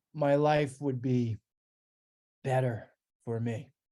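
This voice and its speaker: The tone is dark and mellow. Intonation stays monotone and flat throughout. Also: man. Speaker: street performer. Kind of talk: interview answer.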